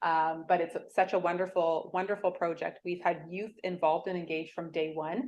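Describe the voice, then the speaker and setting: With a Canadian accent, a woman speaks at a fairly low pitch and a fairly quick pace. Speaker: hospital foundation fundraiser. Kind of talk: presentation talk. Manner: fast.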